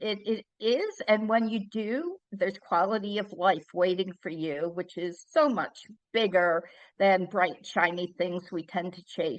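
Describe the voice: A woman at medium pitch, speaking at a fairly slow pace with ordinary pitch variation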